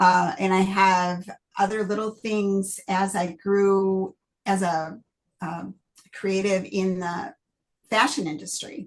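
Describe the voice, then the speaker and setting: Using a Midwestern accent, a woman speaks at a medium pitch and a very slow pace with long, frequent pauses and fairly even intonation. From Michigan, US Midwest. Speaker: novelist. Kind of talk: interview. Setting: video call.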